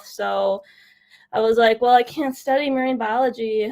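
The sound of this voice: A woman speaks with vocal fry at a fairly high pitch. Her intonation is fairly even.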